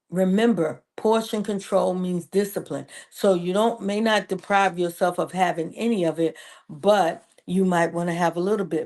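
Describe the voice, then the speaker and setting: A woman speaks in a normal speaking voice at medium pitch and a moderate pace. Her intonation stays fairly even over a quiet background. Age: 60s. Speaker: preacher and women's ministry leader. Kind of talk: motivational health talk.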